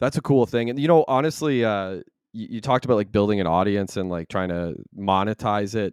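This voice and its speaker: This man has a plain, everyday voice, fairly low in pitch, with lively intonation at a fairly quick pace. The background is quiet, and the sound is dry and close with no echo. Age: 30s. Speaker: podcast host. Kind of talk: casual chat.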